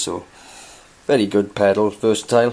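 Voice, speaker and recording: With a Welsh accent, a man speaks at a fairly low pitch with fairly even intonation. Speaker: guitarist showing his gear. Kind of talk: gear demonstration. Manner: hesitant, many fillers.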